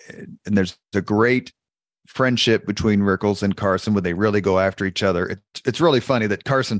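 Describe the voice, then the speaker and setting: With an unremarkable speaking voice and an American accent, a man speaks at a moderate pace and a fairly low pitch with ordinary pitch variation, in dry, close sound with no echo over a quiet background. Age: 50s. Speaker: podcast host, public relations owner. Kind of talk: interview.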